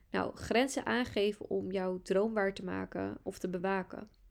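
Using a plain, everyday voice, a woman speaks fairly slowly at a medium pitch. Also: very clean recording, silent background. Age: 20s. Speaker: podcast host, astrologer and entrepreneur. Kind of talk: solo podcast monologue.

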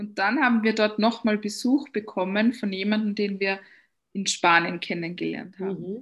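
Over a quiet background, a woman speaks at a fairly slow pace in a somewhat breathy voice. Her pitch is fairly high, with ordinary variation. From Austria. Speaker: coach. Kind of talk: interview.

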